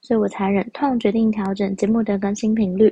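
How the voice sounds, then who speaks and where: Somewhat breathy, a woman speaks at a medium pitch and moderate pace with monotone, flat intonation. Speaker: podcast host. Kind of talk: casual solo podcast talk.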